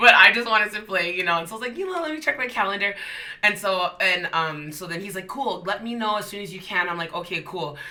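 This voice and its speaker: A woman's animated, very fast speech at medium pitch, with ordinary pitch variation, big swings in loudness and noticeable background noise. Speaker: singer. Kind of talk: casual chat.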